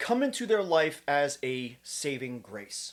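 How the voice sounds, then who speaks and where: In a New Jersey accent, the speaker has an animated tone in a very clean recording with a silent background. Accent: New Jersey American. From US Northeast, central New Jersey (Trenton). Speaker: kratom advocate YouTuber. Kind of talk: opinion monologue to camera.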